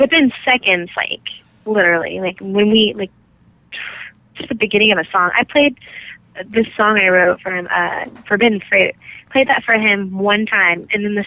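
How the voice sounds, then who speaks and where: Delivered in an ordinary speaking voice with an American accent, this clip moves at a moderate pace with ordinary pitch variation. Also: woman. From California. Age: 20s. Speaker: rock singer and guitarist. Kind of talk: interview answer.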